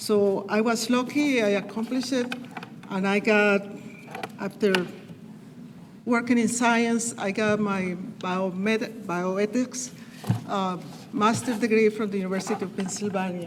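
With a Colombian accent, a woman speaks at a fairly slow pace in a medium pitch, her intonation fairly even and her speech broken by long, frequent pauses, with noticeable background noise and audible room echo. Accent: foreign Colombian Spanish. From Colombia (Cali). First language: Spanish. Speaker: human relations council member. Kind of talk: acceptance speech. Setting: public meeting at podium.

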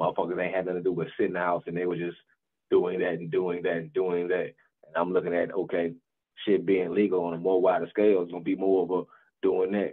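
In a quiet background, a man with a very deep, low pitch speaks at a very fast pace in a monotone, flat intonation. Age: 30s. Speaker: podcast co-host. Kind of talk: casual chat. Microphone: video call.

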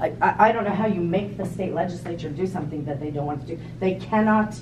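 Noticeable background noise sits behind a woman speaking. She talks at a fairly quick pace with ordinary pitch variation. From New Jersey. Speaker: schoolteacher; audience member. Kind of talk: audience comment, debate. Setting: meeting room with audience. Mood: skeptical, challenging. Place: meeting room. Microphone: phone near.

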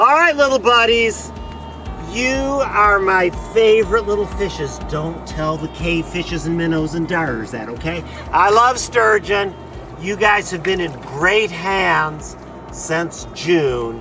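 A man's high-pitched voice at a very slow pace, with very wide pitch swings, noticeable background noise and a dry sound with no echo. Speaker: fish biologist. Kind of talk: playful pep talk to fish. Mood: warm, joking, affectionate. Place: waterside. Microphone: phone near.

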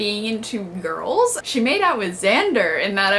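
Light background noise under a woman's voice. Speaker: vlogger. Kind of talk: casual vlog chat, episode reaction. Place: home room. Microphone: camera far.

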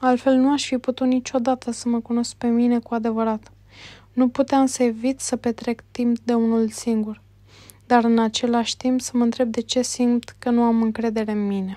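A woman's high-pitched voice, dark and mellow in tone, calm and monotone with flat intonation, in a dry, close sound with no echo. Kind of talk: audiobook narration. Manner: slow, even, calm reading pace.

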